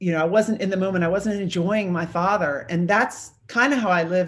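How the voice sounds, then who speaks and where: A woman with an ordinary speaking voice talks at a fairly quick pace, medium in pitch, with ordinary pitch variation. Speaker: mindset coach and retired navy executive. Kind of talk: interview.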